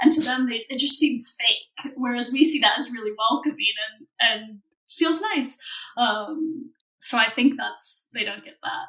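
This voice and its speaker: A woman with an American accent uses a raised, projected voice at a high pitch. She goes at a fairly slow pace, with ordinary pitch variation and big swings in loudness. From Ohio, US. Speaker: expat guest. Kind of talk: casual interview chat.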